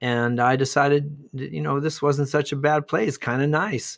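A man with an American accent has a plain, everyday voice, a fairly high pitch and ordinary pitch variation at a fairly slow pace. The recording is very clean, with a silent background. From Ohio, US Midwest. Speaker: retired teacher. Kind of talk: interview, casual storytelling.

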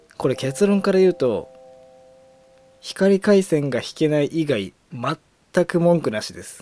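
Over music in the background, a man speaks at a fairly slow pace in an animated tone, with very wide pitch swings. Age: 20s. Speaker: podcast host and coach. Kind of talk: casual solo monologue. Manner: animated, frequent laughter.

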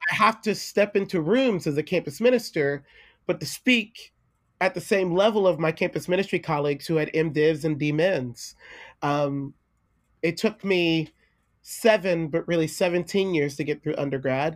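A man speaks at a moderate pace, pitched fairly high, his pitch varying in an ordinary way.

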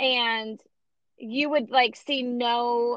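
A woman with fairly even intonation. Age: 30s. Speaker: podcast host. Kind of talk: casual interview.

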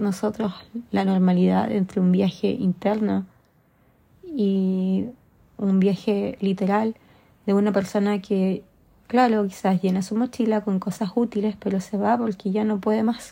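Somewhat breathy and dark, mellow in tone, a woman at medium pitch speaks at a fairly slow pace with fairly even intonation. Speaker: podcaster. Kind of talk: personal monologue.

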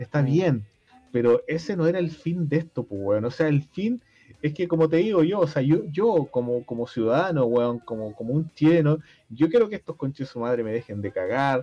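With a Chilean accent, a man talks at a moderate pace in a dark, mellow tone, with a fairly high pitch and lively intonation. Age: 30s. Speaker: podcast co-host. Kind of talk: casual chat. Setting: home.

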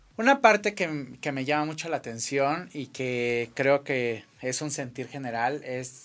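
In a plain, everyday voice, the speaker moves at a fairly slow pace with hardly any pauses and ordinary pitch variation, on a very clean recording with a silent background. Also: man, fairly high pitch for a man. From Mexico, Acapulco. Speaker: radio show host. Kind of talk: casual interview. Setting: studio.

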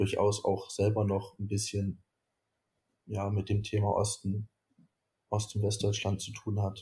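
The voice is dark, mellow and somewhat breathy, flat and monotone at a fairly slow pace with long, frequent pauses. The recording is very clean, with a silent background. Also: man, fairly low pitch for a man. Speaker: student, youth activist. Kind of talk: interview.

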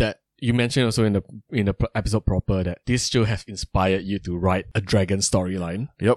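In a dry, close sound with no echo, a man with a fairly low pitch uses an ordinary speaking voice, fairly even intonation and hardly any pauses. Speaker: podcast host. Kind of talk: casual chat.

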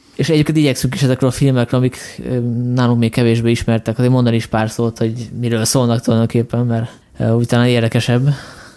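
A man talks at a very fast pace with monotone, flat intonation. Noticeable background noise is present. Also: medium pitch for a man. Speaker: podcast host. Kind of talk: casual chat.

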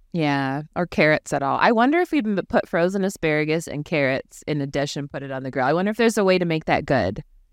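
A woman talks at a very fast pace with hardly any pauses, her very deep, low pitch carrying lively intonation and an animated tone in a dry, close sound with no echo. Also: very clean recording, silent background. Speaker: podcast host. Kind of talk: casual chat. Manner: animated, laughs often.

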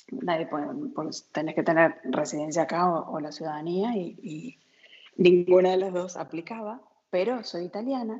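At a moderate pace, a woman with fairly low pitch speaks with lively intonation. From Argentina, San Juan. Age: 40s. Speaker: emigrant sharing her experience. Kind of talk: interview, casual conversation.

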